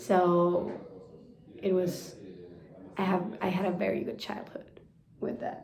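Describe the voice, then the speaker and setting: Over noticeable background noise and audible room echo, a woman with a Spanish accent speaks very slowly, with long, frequent pauses. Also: medium pitch for a woman, ordinary pitch variation. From Argentina, Buenos Aires. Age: 20s. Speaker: pastry chef. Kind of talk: interview.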